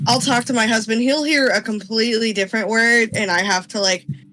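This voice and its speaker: Music in the background beneath speech with ordinary pitch variation. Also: woman. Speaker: podcast guest, fan artist. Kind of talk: casual chat.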